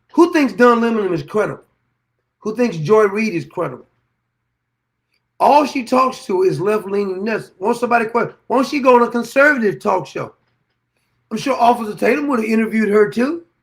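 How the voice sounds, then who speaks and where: A man with a high voice talks at a fairly quick pace in an animated tone, his pitch varying in an ordinary way, with long, frequent pauses. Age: 60s. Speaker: political commentary host. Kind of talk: opinion monologue.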